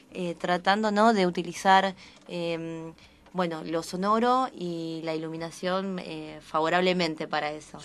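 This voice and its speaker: A woman with a plain, everyday voice speaks at a fairly slow pace and fairly low pitch, her intonation fairly even but her loudness swinging widely. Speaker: actress. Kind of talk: radio interview answer. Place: studio. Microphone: studio mic.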